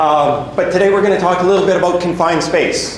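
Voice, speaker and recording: Noticeable background noise and audible room echo fill the recording. Within it, a man talks with ordinary pitch variation. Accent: Canadian. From western Canada, Edmonton. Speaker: safety equipment sales rep. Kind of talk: presentation. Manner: repetitive, frequent restarts.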